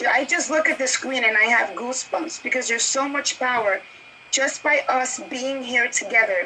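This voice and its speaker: A woman with a Spanish accent speaks in a raised, projected voice at a high pitch. Her pace is moderate with ordinary pitch variation, over noticeable background noise. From New York City. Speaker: marketing executive panelist. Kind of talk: panel discussion introduction.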